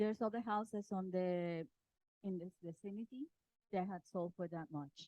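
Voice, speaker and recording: A woman's soft-spoken, dark, mellow tone at a medium pitch and moderate pace, with ordinary pitch variation and a dry, close sound with no echo. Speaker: real estate agent. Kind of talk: property presentation at team meeting. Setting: office meeting room with handheld mic. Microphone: bad mic, held too far.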